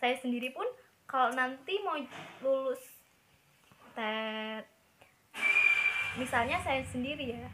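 A woman's high-pitched, fairly bright voice at a slow pace, with long, frequent pauses and ordinary pitch variation

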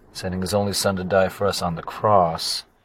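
Here a man talks at a moderate pace. His pitch is very deep and low. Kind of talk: devotional reflection.

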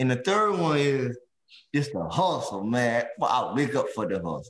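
A man with an American accent, fairly high in pitch, at a fairly slow pace with lively intonation and audible room echo. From US South, South Carolina (Allendale). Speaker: podcast co-host and small business owner. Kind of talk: casual chat.

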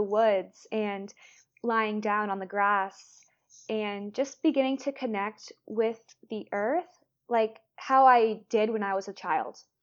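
Speaking at a fairly slow pace with an American accent, a woman has a fairly high pitch and a normal speaking voice. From Florida, US. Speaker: breathwork healer and mentor. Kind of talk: interview conversation.

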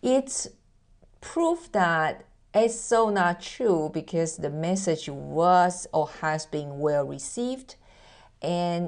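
Against a quiet background, a woman with a fairly low pitch speaks at a very slow pace with lively intonation. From Taiwan. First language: Mandarin. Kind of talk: motivational monologue, promo-style message.

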